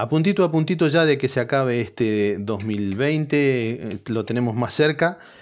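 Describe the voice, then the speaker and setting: A man with a Rioplatense accent at medium pitch, fairly slow and with hardly any pauses, lively intonation, in a quiet background. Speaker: podcast host. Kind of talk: casual comedic monologue. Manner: animated.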